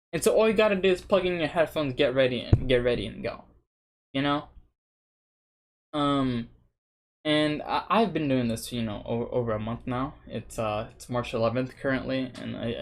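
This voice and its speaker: A man with lively intonation at a fairly quick pace, music in the background. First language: Spanish. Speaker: language learning vlogger. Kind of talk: casual vlog monologue. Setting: sitting at home in front of webcam. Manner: casual, hesitant with fillers and restarts. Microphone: cheap webcam.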